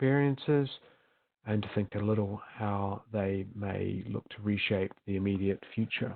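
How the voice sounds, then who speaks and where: A man in a New Zealand accent speaks at a fairly slow pace. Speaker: management consultant. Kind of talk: webinar presentation. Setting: virtual summit recording. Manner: hesitant with frequent fillers.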